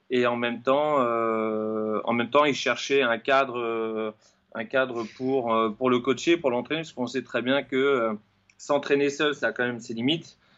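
A man at a medium pitch, fairly slow in pace, with fairly even intonation. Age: 40s. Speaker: running coach and fitness trainer. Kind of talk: interview. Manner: halting.

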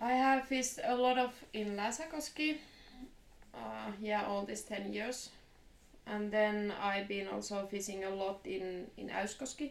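With a Finnish accent, a woman talks fairly slowly at a medium pitch with ordinary pitch variation, amid audible room echo and noticeable background noise. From Finland. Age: 30s. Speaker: fly fisher. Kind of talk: casual interview.

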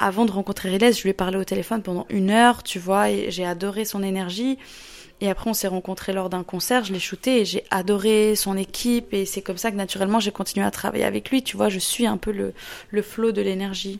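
This woman has a medium pitch and fairly even intonation. She talks at a fairly quick pace. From Switzerland, Lausanne. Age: 20s. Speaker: photographer. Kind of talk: interview. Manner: casual, hesitant with fillers.

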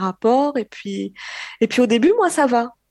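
A plain, everyday voice with lively intonation at a fairly slow pace, dry, close sound with no echo, and a quiet background. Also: woman. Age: 20s. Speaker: caller. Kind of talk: testimony.

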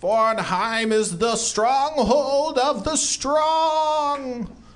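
Very slowly, a man delivers his lines in a put-on character voice. His pitch is extremely high.

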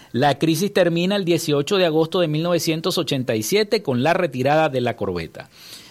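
Fairly high-pitched for a man, he talks with lively intonation and hardly any pauses in an unremarkable speaking voice. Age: 50s. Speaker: radio news host. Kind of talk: news reading; radio interview. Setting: radio studio.

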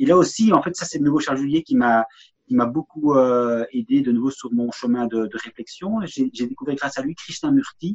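Recorded dry and close with no echo, a man's fairly high voice moves in very wide pitch swings. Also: moderate pace. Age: 50s. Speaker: podcast guest, author. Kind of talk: casual conversation. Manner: halting, many repetitions.

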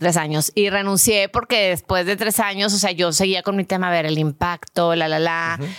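This voice is unremarkable, moving at a moderate pace with hardly any pauses and very even loudness. The recording is very clean and dry, close, with no echo and a silent background. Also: woman, fairly low pitch for a woman, fairly even intonation. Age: 40s. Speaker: real estate investor. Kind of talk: interview.

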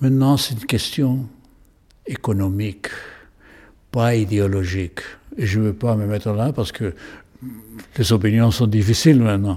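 The speech comes with a Spanish accent and ordinary pitch variation. Long, frequent pauses break it up. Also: man, fairly low pitch for a man, moderate pace. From Chile. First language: Spanish (speaking French). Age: 80s+. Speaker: painter. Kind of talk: interview. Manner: halting.

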